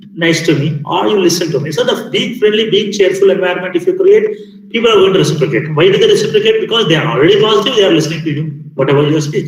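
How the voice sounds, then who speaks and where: Amid noticeable background noise and audible room echo, a man speaks very fast in a high pitch with ordinary pitch variation. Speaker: faculty development trainer. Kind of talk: lecture. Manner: loud; halting.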